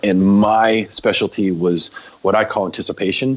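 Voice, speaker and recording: Noticeable background noise sits under the recording. A man talks at a fairly low pitch that varies in an ordinary way. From US Northeast, Maine. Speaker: film director and hardcore musician. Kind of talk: casual interview.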